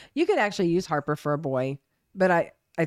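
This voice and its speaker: A woman with an American accent, very fast delivery, vocal fry and lively intonation, in a dry, close sound with no echo. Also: very clean recording, silent background. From Oklahoma. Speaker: podcast co-host. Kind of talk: casual chat.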